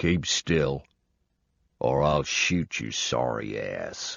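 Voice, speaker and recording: A man growls in a put-on character voice with a very deep, low pitch. He speaks at a very slow pace. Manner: calm, cool, threatening.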